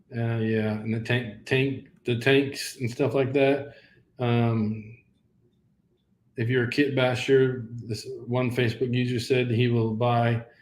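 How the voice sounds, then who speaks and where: Speaking at a very slow pace, a man with a medium pitch uses a monotone, flat intonation, with audible room echo. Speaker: live stream host of sci-fi props channel. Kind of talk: live stream wrap-up chat. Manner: halting, stuttering.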